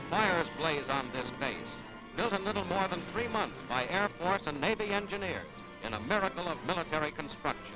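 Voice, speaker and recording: Music plays behind a man who talks at a fairly quick pace, his high pitch carrying lively intonation. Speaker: newsreel narrator. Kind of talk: wartime newsreel narration.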